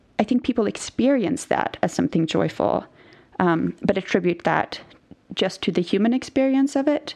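A woman with a Norwegian accent and a dark, mellow tone, at a moderate pace with lively intonation. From Norway. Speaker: biblical scholar. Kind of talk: interview.

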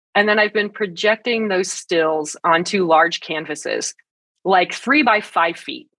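An ordinary speaking voice from a woman, medium in pitch and fairly slow, with lively intonation in a dry, close sound with no echo. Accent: American. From northern Great Plains, US. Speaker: science communicator. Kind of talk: interview.

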